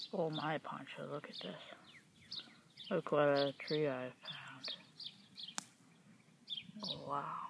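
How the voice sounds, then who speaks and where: The pace is very slow, with long, frequent pauses. Background noise is noticeable. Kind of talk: casual talk to a pet while filming. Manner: affectionate, gentle.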